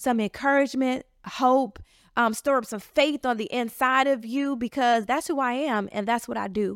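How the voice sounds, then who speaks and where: An animated tone at a moderate pace with ordinary pitch variation on a very clean recording with a silent background. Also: woman, high pitch for a woman. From Chicago, south side. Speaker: podcast host, faith-based life coach. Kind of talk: motivational monologue. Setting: at home on couch.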